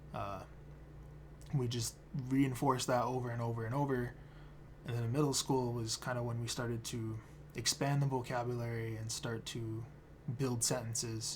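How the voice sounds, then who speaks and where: With long, frequent pauses and audible room echo, a man speaks at a moderate pace in a somewhat breathy, monotone voice with flat intonation. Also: medium pitch for a man. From Standing Rock reservation, North/South Dakota. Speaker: keynote speaker, photographer and anthropologist. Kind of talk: recorded keynote speech. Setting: self-recorded video at home. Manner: casual, hesitant with fillers.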